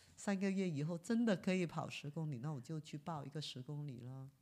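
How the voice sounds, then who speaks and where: A woman speaks in an unremarkable speaking voice at a moderate pace. The recording is very clean, with a silent background. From Guangzhou, China. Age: 50s. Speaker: visually impaired marathon runner. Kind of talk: interview storytelling.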